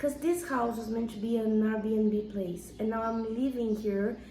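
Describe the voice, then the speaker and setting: A woman speaks fairly slowly at a fairly high pitch, with a Brazilian accent and ordinary pitch variation. Room echo is audible. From Brazil, São Paulo. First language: Portuguese. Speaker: vlogger. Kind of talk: casual home tour vlog. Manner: hesitant, searching for words.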